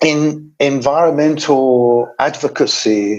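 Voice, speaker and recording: In a southern English accent, a man talks at a medium pitch with ordinary pitch variation. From England, London. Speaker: environmental specialist. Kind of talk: webinar talk. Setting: webinar.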